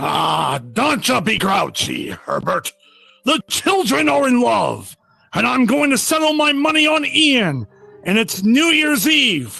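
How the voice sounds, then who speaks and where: Projecting loudly over faint background music, a man uses a put-on character voice pitched extremely high and speaks at a fairly slow pace. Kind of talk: vintage radio drama performance. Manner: hearty, jovial.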